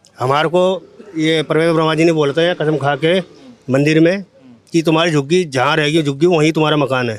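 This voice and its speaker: Over noticeable background noise, a man talks at a moderate pace with fairly even intonation. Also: fairly high pitch for a man. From Delhi. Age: 40s. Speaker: slum resident. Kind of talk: street interview.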